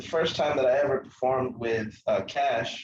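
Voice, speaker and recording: A somewhat breathy man with a medium pitch. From Tanzania. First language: Swahili. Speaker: musician, band founder. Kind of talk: interview. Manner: casual with many fillers.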